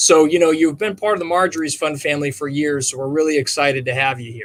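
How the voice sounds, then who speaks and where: Talking at a very fast pace with a Minnesotan accent, the speaker shows ordinary pitch variation and big swings in loudness. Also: man, fairly high pitch for a man. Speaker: charity co-founder. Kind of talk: casual chat. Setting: virtual livestream.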